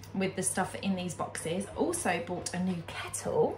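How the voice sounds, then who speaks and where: Light background noise sits under a woman speaking at a moderate pace. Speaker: home lifestyle vlogger. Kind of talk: casual vlog chat. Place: kitchen.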